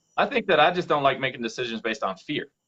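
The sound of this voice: With an American accent, a man at medium pitch talks fast, his fairly bright tone carried by lively intonation.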